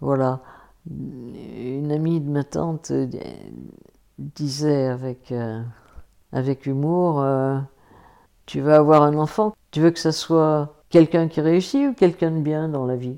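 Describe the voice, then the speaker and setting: A woman with a dark, mellow tone and a very deep, low pitch speaks at a very slow pace, with fairly even intonation and long, frequent pauses. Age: 70s. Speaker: retired sociologist. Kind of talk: testimony. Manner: hesitant.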